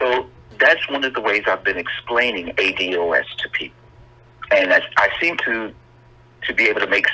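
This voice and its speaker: Over noticeable background noise, the man talks at a moderate pace. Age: 60s. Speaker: caller. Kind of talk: call-in comment.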